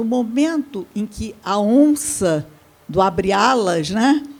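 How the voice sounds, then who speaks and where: Lively intonation at a very slow pace over noticeable background noise. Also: woman. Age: 80s+. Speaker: samba researcher and panelist. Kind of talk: seminar panel talk. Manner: halting.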